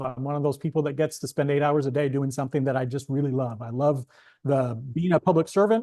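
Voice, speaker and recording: Talking at a very fast pace, a man has a dark, mellow tone and a fairly high pitch against a quiet background. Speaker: librarian. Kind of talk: lecture. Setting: presentation with in-person and online audience. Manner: halting, many fillers.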